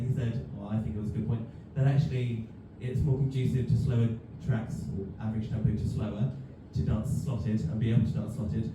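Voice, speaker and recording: Speech at a fairly quick pace with ordinary pitch variation, heard over background music in a room with audible echo. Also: man. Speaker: dance teacher. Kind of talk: panel discussion. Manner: mumbling; hesitant, many fillers.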